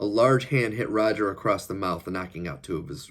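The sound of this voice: An unforced reading voice carries through the recording.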